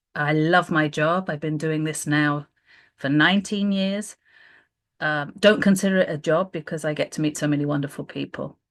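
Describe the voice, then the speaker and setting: A woman with a British accent, a very deep, low pitch and fairly even intonation against a quiet background. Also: moderate pace. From UK. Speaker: volunteer program manager. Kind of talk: informational presentation. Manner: hesitant, many filler sounds.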